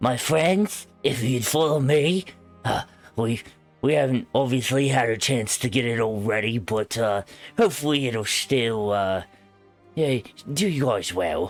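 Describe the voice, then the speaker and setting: Using a put-on character voice, a raspy man with a medium pitch speaks at a moderate pace with long, frequent pauses as faint music plays in the background. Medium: actual play. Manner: hesitant, rambling.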